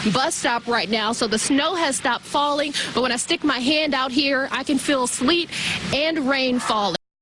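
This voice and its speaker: A woman speaks at a moderate pace in a high voice. Noticeable background noise runs under her. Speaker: TV news reporter. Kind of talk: live TV news report. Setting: outdoors.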